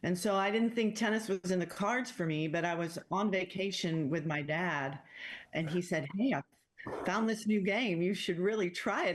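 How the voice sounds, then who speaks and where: With an American accent and a normal speaking voice, a woman speaks at a moderate pace in a fairly low pitch with ordinary pitch variation against a quiet background. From England, raised in the US. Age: 60s. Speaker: professional pickleball player. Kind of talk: casual chat.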